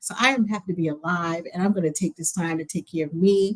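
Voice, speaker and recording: A somewhat breathy woman's voice. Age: 60s. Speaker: librarian. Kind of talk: interview.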